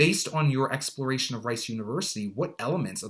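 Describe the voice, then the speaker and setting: This man talks very fast at a medium pitch. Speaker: college admissions consultant. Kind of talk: tutorial.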